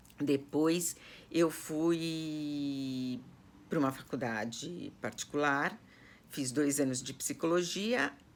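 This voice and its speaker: A woman talks very slowly in a very deep, low voice with ordinary pitch variation. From Brazil, São Paulo city (Zona Norte). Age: 60s. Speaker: personal organizer. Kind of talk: personal life story to online students. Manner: hesitant, many fillers.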